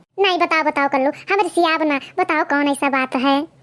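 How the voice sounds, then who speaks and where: A woman does a squeaky, cartoonish character voice at a high pitch and moderate pace. Her loudness stays very even and her intonation fairly even. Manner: giggly, coy, teasing.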